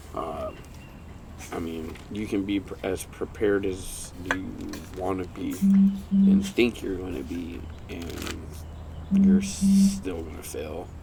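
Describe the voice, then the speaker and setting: Amid noticeable background noise and audible room echo, a man speaks very slowly with long, frequent pauses. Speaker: podcast co-host, parent. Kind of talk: casual chat. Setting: home recording, backyard. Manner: quiet, lowered voice at moments.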